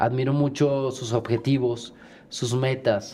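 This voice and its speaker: Very slow, dark and mellow speech from a man at a medium pitch. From Monterrey, Nuevo León, Mexico. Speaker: musical theatre actor and singer. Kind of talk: casual chat.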